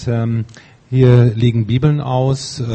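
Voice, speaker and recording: This is a man speaking. His pace is very slow. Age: 50s. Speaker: congregation member. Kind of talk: testimony. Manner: tends to stumble when reading aloud.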